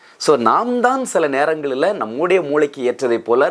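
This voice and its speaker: This man has a fairly high pitch and very wide pitch swings. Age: 50s. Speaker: pastor. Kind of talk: sermon.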